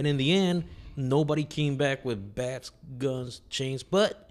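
A plain, everyday voice with lively intonation. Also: man. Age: 40s. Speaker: podcast host. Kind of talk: casual chat.

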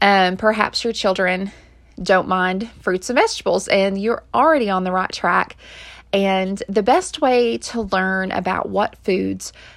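At a fairly slow pace, a woman of medium pitch speaks in an unremarkable speaking voice with ordinary pitch variation on a very clean recording with a silent background. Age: 30s. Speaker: mom podcaster giving health tips. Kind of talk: casual talk with tips and product recommendations. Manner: informal with frequent fillers.

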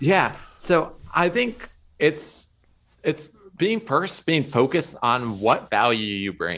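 A man's very slow speech with vocal fry, very wide pitch swings and a bright, sharp tone. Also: fairly high pitch for a man. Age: 20s. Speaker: social media content creator. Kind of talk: casual interview chat. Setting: video call.

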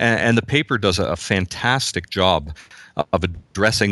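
A man speaks at a moderate pace with a Canadian accent, his pitch fairly low. It is a plain, everyday voice over a quiet background. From Canada, Southern Ontario. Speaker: pastor. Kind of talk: casual chat.

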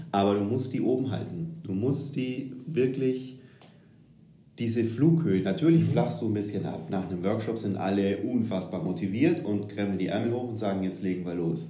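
A man's somewhat breathy voice, dark and mellow in tone, fairly low in pitch, with lively intonation, a moderate pace and audible room echo. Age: 30s. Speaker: agile transformation consultant. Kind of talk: casual interview.

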